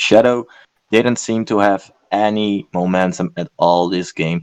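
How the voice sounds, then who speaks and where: A man's fairly low voice, dry and close with no echo. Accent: non-native. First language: not English. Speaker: esports commentator. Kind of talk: casual analysis chat. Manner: hesitant, many fillers.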